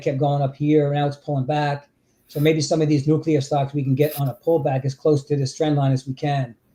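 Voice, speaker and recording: A man's fairly high, dark, mellow voice at a fairly quick pace, with monotone, flat intonation. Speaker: trading livestream host. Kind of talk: casual chat. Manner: loud.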